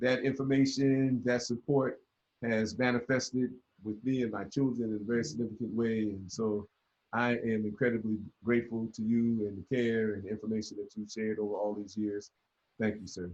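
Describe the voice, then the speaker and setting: This man has an unremarkable speaking voice at medium pitch, with an American accent. He talks at a fairly quick pace with fairly even intonation. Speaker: author. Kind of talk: casual chat.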